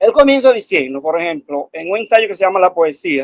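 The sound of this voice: In a dry, close sound with no echo, a man speaks at a fairly quick pace and a high pitch with big pitch swings.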